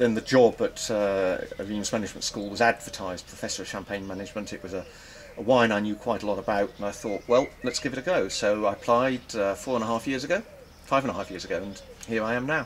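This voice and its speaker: Talking at a very fast pace, a man with an English accent uses a medium pitch and ordinary pitch variation over noticeable background noise. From England. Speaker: wine professor. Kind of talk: interview. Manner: measured, some hesitations.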